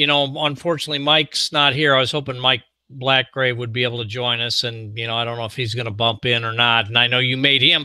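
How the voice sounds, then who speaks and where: Recorded very cleanly against a silent background, a man talks at a fairly quick pace in a bright, sharp tone. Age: 60s. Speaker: podcast host, former unit member. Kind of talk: casual interview chat.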